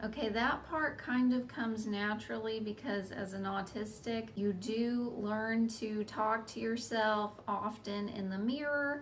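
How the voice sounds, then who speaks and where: Amid noticeable background noise and audible room echo, a woman speaks at a fairly slow pace with a fairly high pitch and fairly even intonation. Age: middle-aged. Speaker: hobby content creator. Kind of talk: casual vlog talk to camera. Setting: talking to camera alone. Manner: monotone; halting, with fillers.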